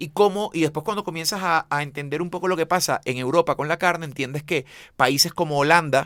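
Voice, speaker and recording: In a Venezuelan accent, a man talks at a fairly quick pace with a fairly high pitch and ordinary pitch variation. His tone is animated, and the sound is dry and close with no echo. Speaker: chef. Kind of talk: interview conversation. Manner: halting, repeats words.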